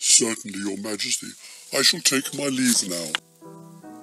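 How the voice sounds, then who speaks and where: A man does a cartoonish character voice at medium pitch and a fairly slow pace. Faint music plays in the background. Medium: puppet. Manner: formal, polite.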